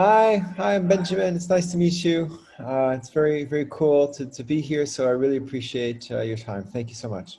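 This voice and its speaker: A man with an American accent speaks at a moderate pace with hardly any pauses, his fairly high voice somewhat breathy, dark and mellow in tone, with lively intonation. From France. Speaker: school leader and educator. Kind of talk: interview. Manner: many fillers and repetitions.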